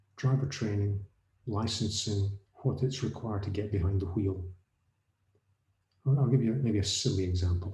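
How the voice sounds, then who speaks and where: At a moderate pace broken by long, frequent pauses, a man with an American accent speaks in a fairly low, somewhat breathy voice with a dark, mellow tone and ordinary pitch variation. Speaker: autonomous vehicle safety consultant. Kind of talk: panel discussion. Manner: halting, with restarts.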